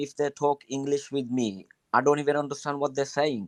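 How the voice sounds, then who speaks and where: In a dry, close sound with no echo, a man of medium pitch speaks with a Bangladeshi accent. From Bangladesh, Sylhet. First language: Sylheti Bengali. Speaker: guest giving advice. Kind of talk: live stream advice. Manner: halting, many fillers.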